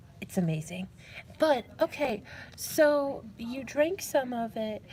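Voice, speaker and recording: Lively intonation comes through as a woman talks very slowly in a somewhat breathy voice. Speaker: live streamer playing a call-center role-play game. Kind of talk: live role-play call center operator, casual talk. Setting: public library.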